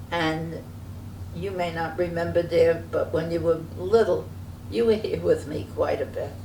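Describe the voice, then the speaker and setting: In a New York accent, a woman talks at a fairly slow pace, with audible room echo around her. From New York City (Brooklyn). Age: 90s. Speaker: interviewee recounting family history. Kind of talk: family oral history interview. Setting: sitting together in person.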